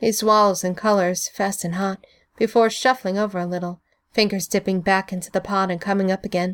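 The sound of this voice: An unforced reading voice with fairly even intonation, set against a quiet background.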